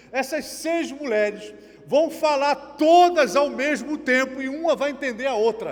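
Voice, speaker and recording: A man speaks in an extremely high voice at a fairly slow pace, with ordinary pitch variation. Noticeable background noise runs underneath. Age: 60s. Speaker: pastor. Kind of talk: sermon.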